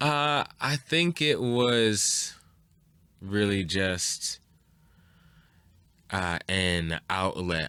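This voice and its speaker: In a very clean recording with a silent background, a man with an American accent speaks in a bright, sharp tone with ordinary pitch variation. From Chicago, US Midwest. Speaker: rapper. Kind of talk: casual interview. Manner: halting, many fillers.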